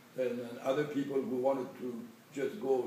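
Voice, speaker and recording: A man at a moderate pace amid noticeable background noise and audible room echo. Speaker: war veteran. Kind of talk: interview. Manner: halting.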